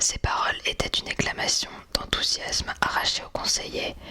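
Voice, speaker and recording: Noticeable background noise is present. Through it, a woman whispers. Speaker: ASMR creator. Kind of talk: literary audiobook-style reading of a classic novel. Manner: whispered.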